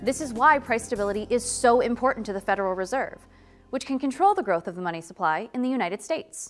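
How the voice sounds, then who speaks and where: A woman at a very fast pace, with faint music in the background. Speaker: presenter. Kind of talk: lecture. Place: studio.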